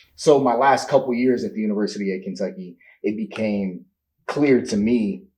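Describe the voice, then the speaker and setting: A man's medium-pitched, dark, mellow voice in an American accent, with lively intonation and a moderate pace. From US Midwest, Indianapolis, Indiana. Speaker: astrophysics PhD student, former college football player. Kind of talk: interview.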